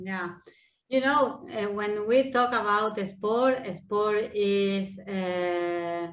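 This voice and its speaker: A woman with an Argentine accent talks very slowly at a medium pitch with ordinary pitch variation, and the room echo is audible. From Argentina. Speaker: sports innovation center head. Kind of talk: panel discussion. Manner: hesitant, non-native phrasing.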